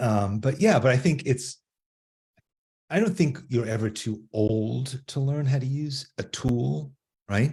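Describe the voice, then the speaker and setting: A man's medium-pitched, somewhat breathy voice with a dark, mellow tone moves at a fairly slow pace with lively intonation and long, frequent pauses. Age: 80s+. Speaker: artist and art teacher. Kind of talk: casual interview. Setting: live stream on social media.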